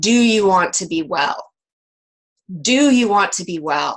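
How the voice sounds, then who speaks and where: A booming, put-on character voice at a fairly slow pace. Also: female-sounding voice, medium pitch for a woman. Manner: commanding.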